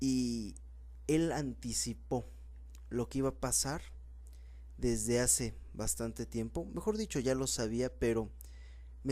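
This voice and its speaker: Speaking at a fairly slow pace with long, frequent pauses, a man is heard against audible room echo. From Mexico, Puebla. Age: 20s. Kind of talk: sermon.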